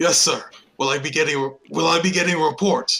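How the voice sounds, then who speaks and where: In a put-on character voice, a man speaks raspy and fairly high-pitched at a fairly quick pace. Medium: actual play. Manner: formal, deferential.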